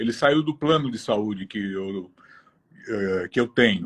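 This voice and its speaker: A man with very wide pitch swings at a fairly slow pace, in a dry, close recording with no echo. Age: 60s. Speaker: cancer patient. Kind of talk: testimony.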